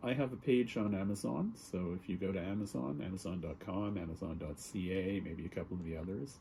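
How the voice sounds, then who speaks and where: In a Canadian accent, a man with a fairly low pitch and a dark, mellow, somewhat breathy tone speaks at a moderate pace with lively intonation and hardly any pauses. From Canada. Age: 60s. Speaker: writer. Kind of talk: casual chat.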